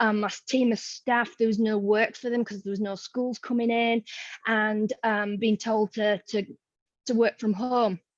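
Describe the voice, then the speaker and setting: A woman with a Yorkshire accent speaks fairly slowly at a fairly high pitch in a monotone, flat way, the sound dry and close with no echo against a quiet background. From Yorkshire, northern England. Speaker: museum educator. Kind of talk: online forum presentation. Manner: casual, chatty.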